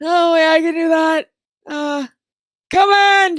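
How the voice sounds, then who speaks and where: In a put-on character voice, someone shouts loudly in an extremely high, squeaky, panicked tone at a fairly slow pace. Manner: very loud squeaking, panicked.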